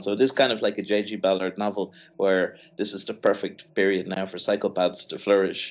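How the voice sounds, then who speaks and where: With an Irish accent, a man talks at a fairly low pitch. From Ireland. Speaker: marketing scholar. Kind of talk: casual academic discussion.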